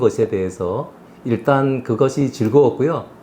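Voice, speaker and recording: At a moderate pace, a man speaks at medium pitch with a dark, mellow tone and fairly even intonation. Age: 60s. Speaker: retired executive, career coach. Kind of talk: interview.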